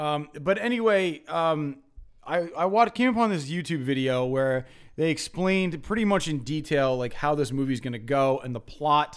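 With an animated tone and lively intonation, a man talks at a moderate pace in a fairly high pitch. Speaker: podcast host. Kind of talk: casual chat.

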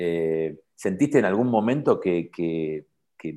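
A man speaks at a very slow pace in a very deep, low voice with lively intonation. The recording is very clean, with a silent background. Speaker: podcast host. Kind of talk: interview. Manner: halting.

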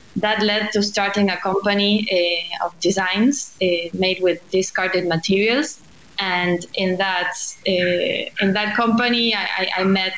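Amid noticeable background noise, a woman with a Spanish accent speaks at a medium pitch with fairly even intonation. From Argentina, Buenos Aires. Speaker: architect and social entrepreneur. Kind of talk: interview.

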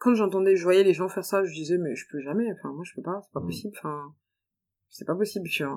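Racing at a very fast pace, a woman of medium pitch shows ordinary pitch variation and big swings in loudness. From France. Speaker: expat professional. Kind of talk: interview testimony. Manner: halting.

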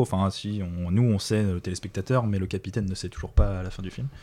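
On a very clean recording with a silent background, a man speaks at a very deep, low pitch with a dark, mellow tone and ordinary pitch variation. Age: 30s. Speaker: podcast guest. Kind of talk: casual chat.

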